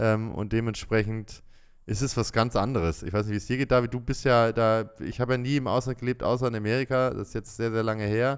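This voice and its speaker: A man with a normal speaking voice talks at a fairly quick pace, medium in pitch. His intonation is fairly even, on a very clean recording with a silent background. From Bremen, northern Germany. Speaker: podcast co-host, expat father. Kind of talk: casual chat.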